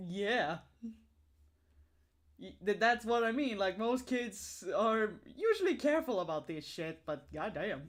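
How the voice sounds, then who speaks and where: The speaker has an American accent, with very wide pitch swings, big jumps in loudness, and long, frequent pauses. The recording is very clean, with a silent background. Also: woman, fairly high pitch for a woman, fairly slow pace. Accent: sounds American to Swedes. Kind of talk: casual chat. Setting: livestream.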